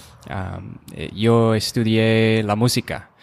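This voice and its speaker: A fairly low-pitched male voice on a very clean recording with a silent background. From US Midwest, Rochester, Minnesota. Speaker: YouTube creator and musician. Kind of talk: interview. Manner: halting, searching for words.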